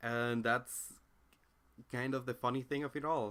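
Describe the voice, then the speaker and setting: A man with a non-native accent has a bright, sharp tone on a very clean recording with a silent background. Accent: noticeable non-native accent in English. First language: Spanish. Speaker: philosophy commentator. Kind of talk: monologue commentary. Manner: halting, with frequent fillers and restarts.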